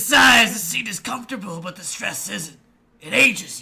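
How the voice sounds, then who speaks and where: A man's put-on character voice, high and wheezy, fairly quick, with ordinary pitch variation and big swings in loudness. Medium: read story.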